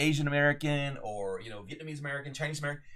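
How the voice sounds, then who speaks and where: The recording is very clean with a silent background, carrying a man's fairly high voice and lively intonation. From United States. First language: Spanish. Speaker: podcast host, author and adventurer. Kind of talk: solo commentary monologue. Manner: casual, with frequent fillers and restarts.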